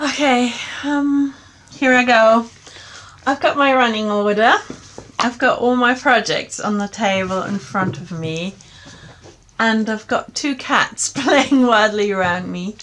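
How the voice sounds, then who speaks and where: Over noticeable background noise, a woman speaks with lively intonation and long, frequent pauses. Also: fairly high pitch for a woman, fairly slow pace. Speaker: knitting podcaster. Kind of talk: casual chat. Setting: home, cats playing nearby.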